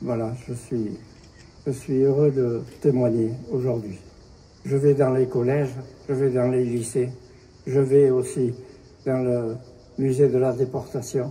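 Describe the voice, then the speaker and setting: The delivery is very slow, with long, frequent pauses. Intonation stays monotone and flat. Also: man, medium pitch for a man. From France, Bayonne. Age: 90s. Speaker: Holocaust survivor and witness. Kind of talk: testimony.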